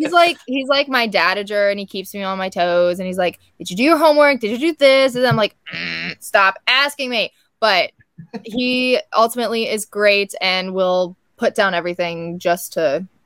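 Her voice is unremarkable, set at a medium pitch with lively intonation and a moderate pace. The sound is dry and close, with no echo. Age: young. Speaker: scientist, inventor and pageant contestant. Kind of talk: casual chat.

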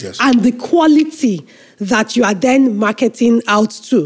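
The woman's voice is pitched high. She uses lively intonation. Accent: Nigerian. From Nigeria. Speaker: nonprofit executive director. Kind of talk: interview.

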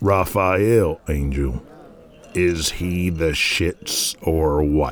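Using a put-on character voice, a man speaks at a very slow pace with a very deep, low pitch. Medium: audio drama. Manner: blunt, commanding.

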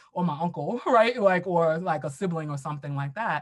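A somewhat breathy woman with an American accent. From US, Brooklyn, New York. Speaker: diversity and equity educator, consultant. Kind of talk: casual interview.

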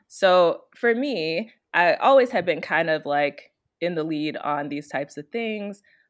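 A normal speaking voice with an American accent. The pace is fairly slow and the intonation lively. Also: woman, fairly low pitch for a woman. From Chicago, Illinois. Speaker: consultant and author. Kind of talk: interview.

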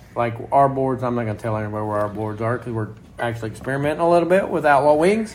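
With an American accent, a man speaks very fast at a medium pitch with ordinary pitch variation, amid audible room echo and noticeable background noise. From Oklahoma. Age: 40s. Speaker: racing driver and podcast host. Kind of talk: casual chat. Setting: condo.

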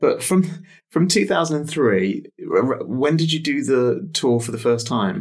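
With an English accent, a man speaks at a fairly slow pace, his fairly high voice showing vocal fry. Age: 40s. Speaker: podcast interviewer and cancer patient. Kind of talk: interview.

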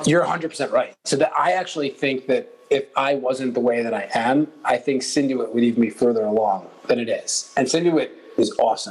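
The speech runs at a moderate pace with hardly any pauses. Noticeable background noise sits behind it. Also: man. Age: 30s. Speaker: entrepreneur. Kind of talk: interview.

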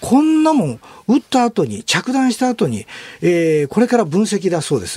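Over noticeable background noise, a man with a high voice speaks at a moderate pace with very wide pitch swings. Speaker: military journalist. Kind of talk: radio interview.

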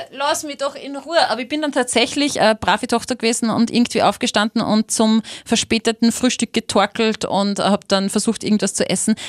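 On a very clean, dry and close recording with a silent background and no echo, a woman speaks fairly quickly with ordinary pitch variation. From Austria, Linz. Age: 30s. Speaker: radio host. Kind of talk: casual chat.

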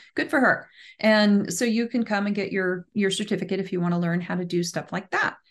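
In a normal speaking voice, a woman talks at a fairly quick pace with ordinary pitch variation. Her pitch is medium, and the background is quiet. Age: 50s. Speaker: professional genealogist. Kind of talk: casual chat.

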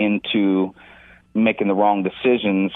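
A man with a normal speaking voice talks at a fairly slow pace in a fairly low pitch. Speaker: veterans court mentor coordinator. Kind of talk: radio interview.

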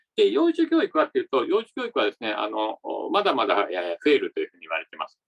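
A man speaks at a very fast pace, his loudness swinging widely. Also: dry, close sound with no echo. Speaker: podcast host interviewing company presidents. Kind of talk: interview and commentary. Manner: formal.

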